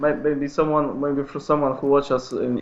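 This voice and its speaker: A man talks with a Polish accent. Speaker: speedway photographer. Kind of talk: interview. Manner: halting.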